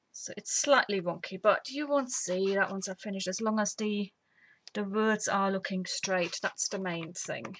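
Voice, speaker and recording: At a moderate pace, a woman uses a normal speaking voice with a medium pitch and ordinary pitch variation. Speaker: papercraft tutorial host. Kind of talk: tutorial. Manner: casual.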